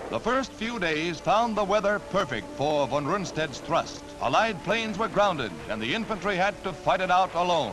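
With music in the background, a man with an American accent speaks at a moderate pace in a high voice, his pitch swinging very widely and hardly any pauses between words. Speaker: newsreel narrator. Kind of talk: newsreel narration. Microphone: old recording.

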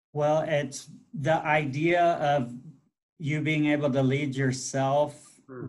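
A very slow man, fairly even in intonation, over a quiet background. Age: 50s. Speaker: school superintendent. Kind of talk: live video interview. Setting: video call. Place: office. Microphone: video call.

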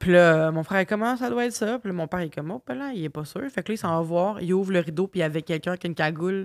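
Over a quiet background, a woman in a Quebec accent speaks very fast at a fairly low pitch with lively intonation. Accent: Québécois French. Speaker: singer and podcast host; podcast host. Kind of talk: casual chat. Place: home room. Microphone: studio mic.

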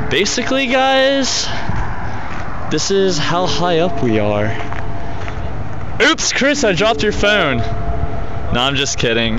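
A man speaks at a very slow pace with long, frequent pauses. The sound is dry with no echo, though background noise is noticeable. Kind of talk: casual vlog chat. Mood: joking, excited. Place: street. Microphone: phone near.

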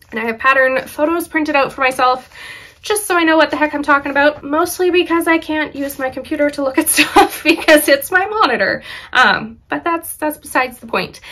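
Raising and projecting her voice, a woman talks at a fairly quick pace in a bright, sharp tone with ordinary pitch variation and light background noise. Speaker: knitting podcaster. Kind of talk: casual vlog chat. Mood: cheerful, laughs often. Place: home room.

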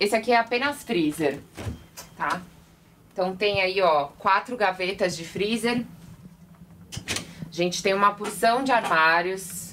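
A woman speaks at a fairly slow pace, with long, frequent pauses. Her pitch varies in an ordinary way over light background noise. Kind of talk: casual vlog tour. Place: boat.

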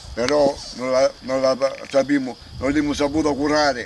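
In a Salentino accent, a man speaks with a dry sound with no echo and light background noise. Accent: Salentino southern Italian dialect. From Salento, southern Italy (Galatone); Salento, Italy. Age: 70s. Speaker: elderly farm worker. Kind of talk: testimony; interview answer. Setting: outdoors. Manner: animated; halting. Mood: indignant, venting frustration. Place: farm machine.

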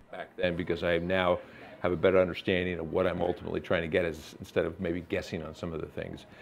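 At a very fast pace, a man talks in a very deep, low, monotone voice over light background noise. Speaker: guest. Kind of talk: interview answer. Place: studio. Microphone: lapel.

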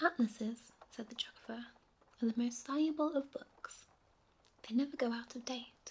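The voice is soft-spoken. It keeps a moderate pace. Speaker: audiobook narrator. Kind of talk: sleep story. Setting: rain sounds in background.

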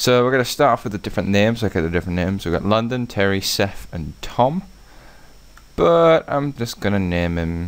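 Talking at a fairly quick pace, a man has an ordinary speaking voice with fairly low pitch and ordinary pitch variation. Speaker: gaming video creator. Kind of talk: let's play commentary. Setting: home recording. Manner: casual, rambling with many fillers.

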